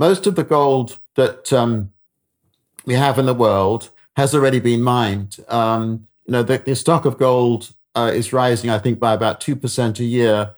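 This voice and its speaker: At a medium pitch, a man talks with ordinary pitch variation. He keeps a moderate pace. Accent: British. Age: 70s. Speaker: economist. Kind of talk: interview. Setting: remote call. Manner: hesitant, halting.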